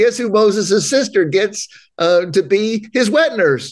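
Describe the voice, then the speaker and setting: This man speaks with an East Tennessee accent at a high pitch. His voice makes very wide pitch swings. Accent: US South (East Tennessee). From Knoxville, Tennessee. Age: 50s. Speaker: pastor and counselor. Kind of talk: casual chat. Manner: halting.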